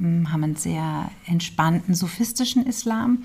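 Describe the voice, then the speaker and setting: A woman's somewhat breathy, dark and mellow voice has a fairly low pitch and ordinary pitch variation. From Hesse, Germany (Hünfeld near Fulda). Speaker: documentary film director. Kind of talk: interview.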